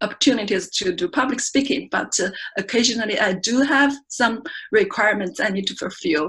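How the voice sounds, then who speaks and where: Speaking with a Chinese accent, a woman talks at a moderate pace at a fairly high pitch with ordinary pitch variation. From China. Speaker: research scientist giving first club speech. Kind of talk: prepared speech. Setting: speaking club meeting. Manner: halting.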